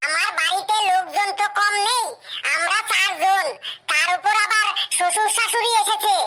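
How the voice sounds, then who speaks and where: An extremely high-pitched cartoonish character voice at a moderate pace. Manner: boastful about trifles.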